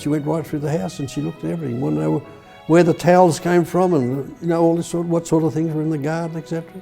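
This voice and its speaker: With music in the background, a man in an Australian accent speaks very fast at a fairly high pitch with fairly even intonation. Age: 80s+. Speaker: war veteran. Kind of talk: interview answer.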